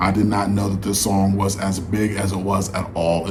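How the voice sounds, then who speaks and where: Male speech with noticeable background noise and audible room echo. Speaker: music reaction YouTuber. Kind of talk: casual vlog commentary. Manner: slightly slurred, dragging words.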